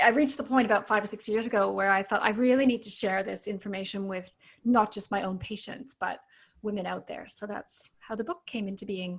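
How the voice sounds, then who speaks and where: A woman with a Canadian accent speaks at a fairly quick pace in a somewhat breathy, medium-pitched voice, captured in a very clean recording with a silent background. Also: ordinary pitch variation, big swings in loudness. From Canada. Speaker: naturopathic doctor and author. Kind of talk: podcast interview.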